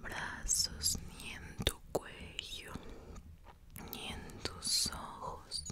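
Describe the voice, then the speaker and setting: A woman whispers in a gentle tone. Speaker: ASMR creator. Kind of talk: ASMR guided relaxation for sleep. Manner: whispered, soft, gentle, slow. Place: home room. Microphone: studio mic.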